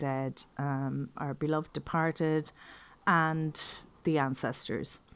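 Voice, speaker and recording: A woman with an Irish accent and fairly low pitch, at a fairly slow pace, on a very clean recording with a silent background. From Ireland. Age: 60s. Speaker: pagan teacher. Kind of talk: informal talk to camera. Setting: video to camera.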